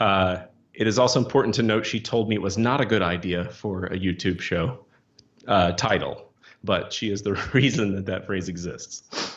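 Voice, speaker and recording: The man has a slight Missouri accent and a fairly low pitch. He speaks at a moderate pace with ordinary pitch variation. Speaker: comic book writer. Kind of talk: casual chat.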